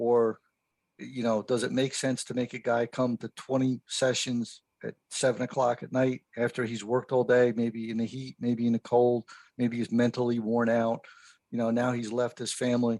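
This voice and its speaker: A man's medium-pitched, monotone delivery at a moderate pace, with flat intonation and a dry, close sound with no echo. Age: 60s. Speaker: fire service instructor. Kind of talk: podcast interview. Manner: casual.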